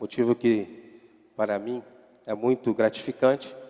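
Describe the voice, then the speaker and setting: A man speaks at a fairly slow pace with a medium pitch. His tone is dark and mellow, his intonation fairly even. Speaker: pastor. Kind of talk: sermon. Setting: church.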